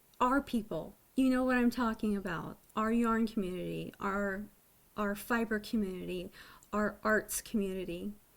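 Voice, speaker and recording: In a very clean recording with a silent background, a woman with a fairly high voice talks at a moderate pace. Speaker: knitting podcaster. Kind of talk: casual video podcast chat. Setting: home webcam recording. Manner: less animated than usual.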